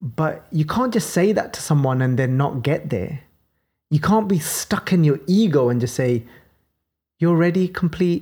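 A woman with a Birmingham accent speaks at a moderate pace in a very deep, low pitch, her tone dark and mellow and her intonation lively. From Birmingham, England. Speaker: podcast host explaining scripture. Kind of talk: religious teaching discussion.

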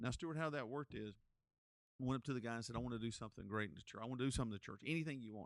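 A man speaks very fast in a North Carolina accent. His pitch varies in an ordinary way. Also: medium pitch for a man. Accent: Southern US (North Carolina). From Gaston County, North Carolina. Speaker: pastor and podcast host. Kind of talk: interview conversation. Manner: animated.

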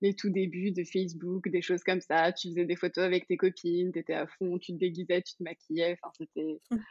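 A woman speaks at a fairly quick pace with fairly low pitch, monotone, flat intonation, hardly any pauses and big swings in loudness. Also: dry, close sound with no echo. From Paris region, France. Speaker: fashion influencer. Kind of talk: casual interview. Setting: remote recording.

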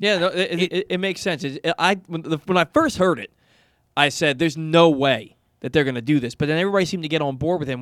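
With a New York accent, a man talks at a very fast pace and a fairly high pitch, in a dry, close sound with no echo. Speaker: radio co-host. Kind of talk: sports talk radio show.

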